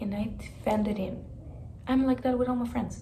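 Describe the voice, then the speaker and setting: There is audible room echo as a woman speaks with fairly even intonation. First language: Spanish. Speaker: vlogger. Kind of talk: personal vlog storytelling. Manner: casual, filler-heavy.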